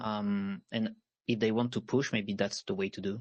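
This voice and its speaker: Ordinary pitch variation from a man with a French accent. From France. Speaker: panelist, web3 gaming founder. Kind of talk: panel discussion. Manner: halting, many fillers.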